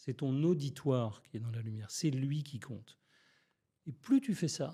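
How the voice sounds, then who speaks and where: On a very clean recording with a silent background, a man speaks at a fairly slow pace with a fairly high pitch and ordinary pitch variation. His tone is dark and mellow, and somewhat breathy. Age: 60s. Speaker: public speaking coach. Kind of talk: podcast interview.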